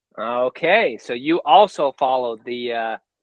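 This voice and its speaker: In a normal speaking voice, a man with an American accent talks at a medium pitch with ordinary pitch variation. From United States. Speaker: book reviewer and interview host. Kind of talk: casual interview.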